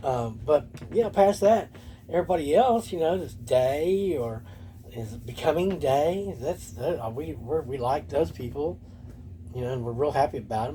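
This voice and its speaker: A man speaks at a moderate pace with a fairly high pitch and very wide pitch swings. His tone is dark and mellow, somewhat breathy. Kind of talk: casual vlog monologue. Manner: whispering; halting.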